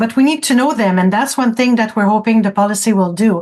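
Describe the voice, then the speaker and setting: The speaker has a French accent and sounds somewhat breathy. Pitch varies in an ordinary way. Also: woman. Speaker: francophone community advocate. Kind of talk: radio interview. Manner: halting, frequent repetitions.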